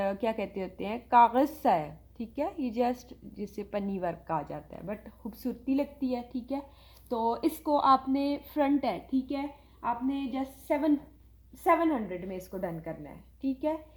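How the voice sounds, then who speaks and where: The voice has lively intonation and big swings in loudness. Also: woman, high pitch for a woman. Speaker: online clothing seller. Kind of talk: sales pitch. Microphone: viewers say audio too quiet.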